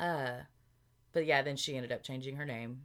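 Speaking with a Southern US accent, a woman uses a very deep, low pitch and a monotone, flat intonation. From Arkansas, US South. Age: 30s. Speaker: podcast co-host. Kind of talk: casual chat.

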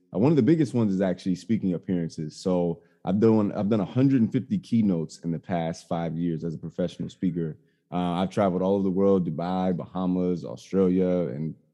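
With an American accent, a man talks very fast in a very deep, low pitch with ordinary variation and a dark, mellow tone. The background is quiet. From Chicago South Side, US. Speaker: STEM educator and tech entrepreneur. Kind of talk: podcast interview. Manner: animated.

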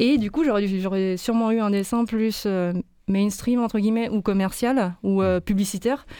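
A woman uses a normal speaking voice at a medium pitch and a fairly slow pace. Her loudness is very even and her intonation fairly even. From Lyon, France. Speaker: illustrator. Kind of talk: interview.

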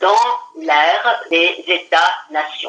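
This woman's voice makes very wide pitch swings. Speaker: law professor. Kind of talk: interview explanation.

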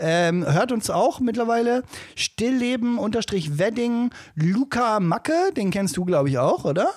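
The pitch swings very widely while the loudness stays very even. The pace is fairly slow. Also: man, extremely high pitch for a man. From Salzgitter, Lower Saxony. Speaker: podcast co-host. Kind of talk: casual chat.

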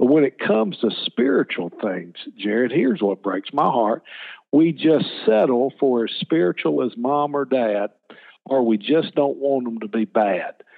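Using lively intonation, a man with a Southern US accent speaks at a medium pitch. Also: fairly slow pace. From Alabama, US South. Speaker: children's ministry leader. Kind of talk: interview. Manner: animated.

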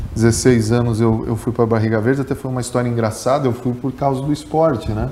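Noticeable background noise behind fairly quick speech with fairly even intonation. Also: man. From Rio Grande do Sul, Brazil (grew up in Capinzal, Santa Catarina). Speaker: journalist and former radio sports narrator. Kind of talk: podcast interview.

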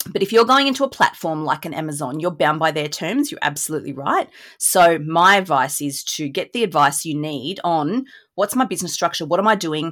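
With lively intonation, a woman talks at a fairly quick pace and a fairly low pitch on a very clean recording with a silent background. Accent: Australian. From rural New South Wales, Australia. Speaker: business lawyer. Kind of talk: interview.

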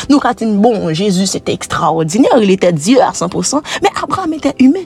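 A woman with a Haitian accent speaks in very wide pitch swings over noticeable background noise. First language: Haitian Creole (speaking French). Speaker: preacher. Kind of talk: sermon.

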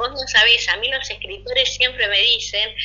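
A woman keeps a moderate pace as noticeable background noise carries on behind her. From Argentina. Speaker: writer and Reiki practitioner. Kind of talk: interview. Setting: recorded remotely.

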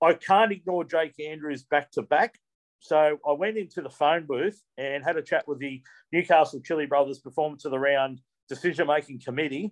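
A man with an Australian accent speaks at a moderate pace with ordinary pitch variation. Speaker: co-host cricket commentator. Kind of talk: casual chat.

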